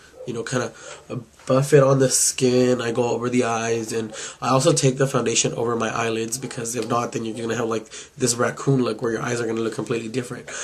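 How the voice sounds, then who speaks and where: Over noticeable background noise, a man talks at a very fast pace. His pitch sits in the medium range. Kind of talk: makeup review talk to camera. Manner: casual.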